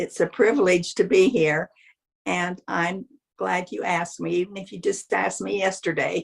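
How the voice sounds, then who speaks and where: A woman speaks at a moderate pace with ordinary pitch variation. Vocal fry colors her voice. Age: 80s+. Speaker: guest grandmother. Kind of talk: interview.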